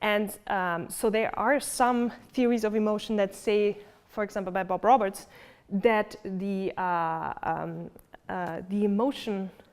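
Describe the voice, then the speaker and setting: In a German accent, a woman with a medium-pitched voice speaks at a fairly slow pace with fairly even intonation, recorded very cleanly against a silent background. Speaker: philosophy lecturer. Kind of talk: lecture. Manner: hesitant with many fillers.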